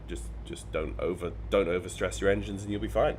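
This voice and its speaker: Amid audible room echo, a man talks at a fairly quick pace with very wide pitch swings. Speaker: flight sim streamer. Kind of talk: gameplay commentary. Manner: halting, repeats words.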